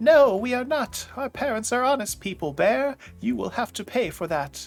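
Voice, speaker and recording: A man's put-on character voice at an extremely high pitch, moderate in pace with lively intonation, faint music in the background. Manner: angry, screaming.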